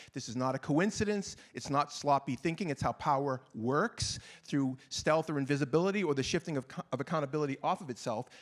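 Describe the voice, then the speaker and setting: With a Boston accent, a man talks at a fairly quick pace with hardly any pauses, his fairly high pitch showing ordinary variation on a very clean recording with a silent background. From Boston, US. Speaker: panelist, gender violence activist. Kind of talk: panel discussion. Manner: fast; passionate.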